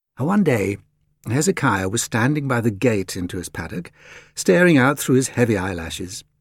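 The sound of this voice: Quiet background behind an unforced reading voice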